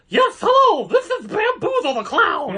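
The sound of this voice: At a moderate pace, a put-on character voice speaks with an extremely high pitch.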